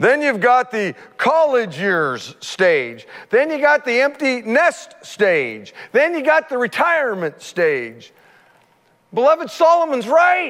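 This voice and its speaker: A man speaks at an extremely high pitch with very wide pitch swings. His pace is very slow. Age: 50s. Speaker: pastor. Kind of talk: sermon. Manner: animated.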